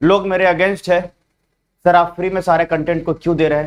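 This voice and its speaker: The man's voice is fairly high. He talks at a moderate speed. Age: young. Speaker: online exam coaching teacher. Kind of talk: live online class address to students. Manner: earnest, pleading.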